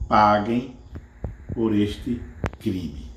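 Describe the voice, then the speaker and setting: Against audible room echo, a man speaks very slowly at a fairly low pitch with vocal fry. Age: 60s. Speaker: mathematics teacher. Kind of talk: testimony.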